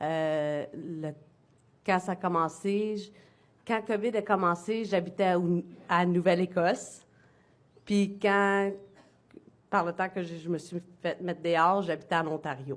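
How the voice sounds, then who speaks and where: A woman speaks at a very slow pace, with long, frequent pauses and fairly even intonation. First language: English (speaking French). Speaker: former military member testifying. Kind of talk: testimony. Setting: public hearing before a commission. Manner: halting.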